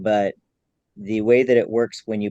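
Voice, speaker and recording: Dark, mellow tone from a man at a medium pitch and moderate pace, dry and close with no echo. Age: 30s. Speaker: drum maker and craft teacher. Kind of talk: interview. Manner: halting, many fillers and repeats.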